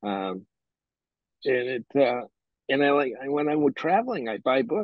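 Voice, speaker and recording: A man talks with a New England accent. His pitch is medium, and his pace is fairly slow. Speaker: bookseller. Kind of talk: interview. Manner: halting.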